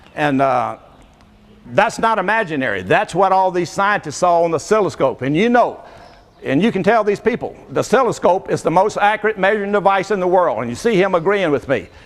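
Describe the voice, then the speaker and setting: With noticeable background noise behind him, a man with a Southern US accent speaks fairly quickly at a high pitch with lively intonation. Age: 70s. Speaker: inventor. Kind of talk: live demonstration. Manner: animated.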